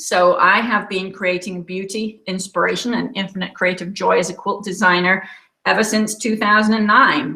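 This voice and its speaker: Bright and sharp in tone, a woman with an English accent speaks at a moderate pace and medium pitch, her intonation fairly even. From England. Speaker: quilt designer. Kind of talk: webinar presentation. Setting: online webinar from home.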